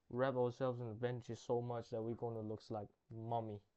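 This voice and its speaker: A man speaks at medium pitch with a non-native accent. His tone is dark and mellow. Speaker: gaming youtuber. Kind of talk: gameplay commentary. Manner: halting, self-correcting.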